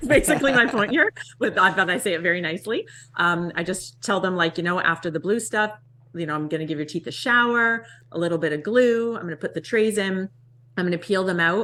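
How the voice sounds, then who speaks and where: Her tone is bright and sharp, with a medium pitch. The woman talks at a very fast pace using lively intonation. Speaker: dental assistant and podcast co-host. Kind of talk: casual chat explaining clinical procedure.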